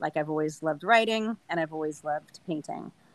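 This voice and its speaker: A woman talks at a fairly quick pace with a fairly low pitch and lively intonation, in a Californian accent. The sound is dry and close, with no echo. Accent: Californian American English. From Southern California. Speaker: trail runner. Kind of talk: casual chat.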